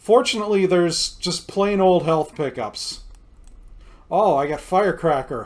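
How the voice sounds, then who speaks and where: Loud and lively in intonation, a man talks at a moderate pace with a high pitch. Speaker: video game streamer. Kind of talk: gameplay commentary. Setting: home recording with headphones.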